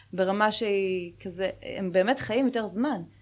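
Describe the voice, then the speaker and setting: In an ordinary speaking voice, a woman speaks at medium pitch and a fairly slow pace with fairly even intonation, on a very clean recording with a silent background. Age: 30s. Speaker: podcast co-host. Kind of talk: casual chat.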